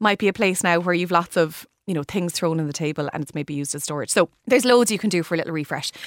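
Speaking very fast with hardly any pauses, a woman with an Irish accent uses a fairly low pitch and ordinary pitch variation, recorded dry and close with no echo. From Ireland, Limerick. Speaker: interiors expert. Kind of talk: radio interview.

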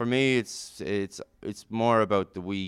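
The speaker has a Kilkenny Irish accent and a fairly slow pace with fairly even intonation. The recording is very clean, with a silent background. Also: man. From Ireland (Kilkenny). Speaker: volleyball coach. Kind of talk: interview.

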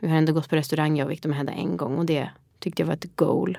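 Speaking at a very fast pace, a woman with a very deep, low pitch keeps her intonation fairly even. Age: 30s. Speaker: podcast host and new mother. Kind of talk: casual chat.

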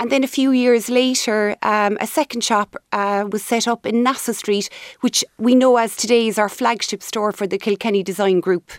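A strong Cork accent at a moderate pace with fairly even intonation, in a very clean recording with a silent background and a dry, close sound with no echo. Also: woman, fairly high pitch for a woman. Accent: Cork Irish, strong. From Cork, Ireland. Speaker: company CEO. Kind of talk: radio interview, business chat.

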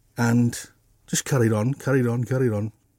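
A man's dark, mellow voice at a medium pitch, moderate pace and fairly even intonation. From Middlesbrough, northeast England. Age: 60s. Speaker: artist. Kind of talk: interview.

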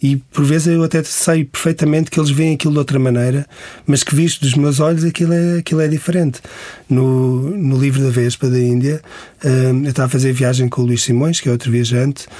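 Speaking at a fairly quick pace with a European Portuguese accent, a man keeps a dark, mellow tone, fairly even intonation and very even loudness. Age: 40s. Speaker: travel writer. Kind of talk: interview.

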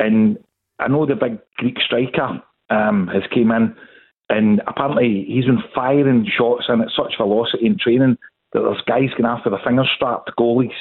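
A man's medium-pitched voice in a Glaswegian accent, at a moderate pace, with ordinary pitch variation and very even loudness. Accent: Glaswegian Scottish. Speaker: football fan caller. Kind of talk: phone-in debate.

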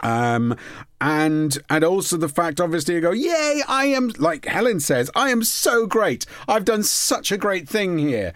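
A man's high voice in a Welsh accent, with very wide pitch swings, very even loudness and a fairly slow pace. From Wales, Port Talbot. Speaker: podcast host. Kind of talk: casual chat.

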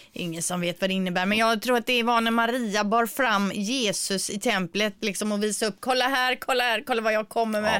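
It's a plain, everyday voice with fairly even intonation. The pace is fairly quick, with hardly any pauses. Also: woman, fairly high pitch for a woman. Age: 40s. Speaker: radio morning show host. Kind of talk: casual radio chat. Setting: home studio.

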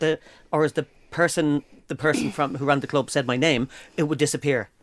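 A man with an Irish accent, fairly high in pitch, at a fairly quick pace, in a dry, close sound with no echo. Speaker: podcast co-host. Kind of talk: casual chat. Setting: studio. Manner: animated.

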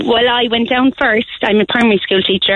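The speaker has an Irish accent. The pitch varies in an ordinary way. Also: woman. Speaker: primary school teacher. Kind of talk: casual chat. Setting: phone call.

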